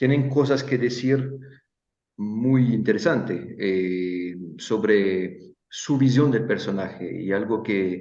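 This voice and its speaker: A man with a non-native accent and a dark, mellow tone speaks at medium pitch and a very slow pace. His pitch varies in an ordinary way, and there is audible room echo. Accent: non-native Spanish speaker. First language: Italian (speaking Spanish). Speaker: stage designer, workshop teacher. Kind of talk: online interview. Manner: halting, many fillers and repetitions.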